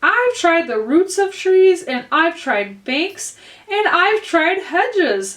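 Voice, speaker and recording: A woman puts on a shrill character voice at an extremely high pitch. She speaks at a very slow pace with very wide pitch swings. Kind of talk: bedtime story. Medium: read story. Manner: shrill, complaining.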